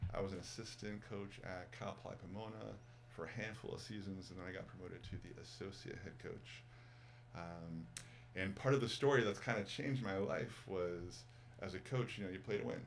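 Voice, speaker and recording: A man with an American accent speaks with vocal fry and lively intonation. Audible room echo surrounds his voice. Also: fairly low pitch for a man. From Massachusetts, outside Boston. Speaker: former college basketball coach, yoga teacher. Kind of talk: casual interview chat. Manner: animated, repetitive with fillers.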